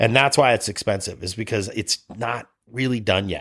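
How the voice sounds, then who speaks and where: A man with an American accent uses an unremarkable speaking voice at medium pitch, recorded very cleanly against a silent background. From US Midwest, Cleveland, Ohio. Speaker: snowboard lodge founder. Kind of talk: casual interview. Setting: office.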